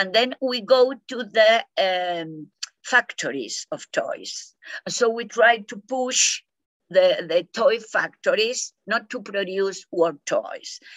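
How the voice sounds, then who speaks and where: Here a woman speaks in a Spanish accent at a very slow pace. Her pitch is fairly high, with lively intonation. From Argentina. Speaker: peace education scholar. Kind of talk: interview. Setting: video call. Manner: halting.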